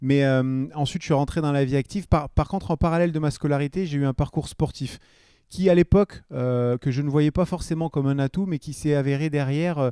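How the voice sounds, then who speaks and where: Fairly quick and fairly even in intonation, a man talks with a fairly high pitch and a dark, mellow tone. The sound is dry and close, with no echo. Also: very clean recording, silent background. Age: 40s. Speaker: entrepreneur, former BMX athlete. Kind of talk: podcast interview. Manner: hesitant, many fillers.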